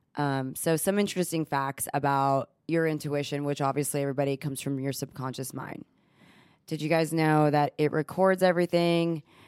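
Recorded with a dry, close sound and no echo, a woman in a Texan accent talks at a fairly quick pace, her very deep, low pitch held in fairly even intonation. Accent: Texan-tinged American English. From Texas, born in Israel. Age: 30s. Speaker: cosmetic injector, podcast co-host. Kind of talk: casual chat.

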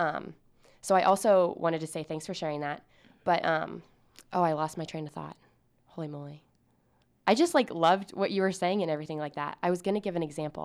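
A woman speaks very fast at a fairly low pitch, with fairly even intonation, big swings in loudness and long, frequent pauses. The recording is very clean with a silent background. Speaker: podcast co-host, student. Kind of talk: casual chat. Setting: studio.

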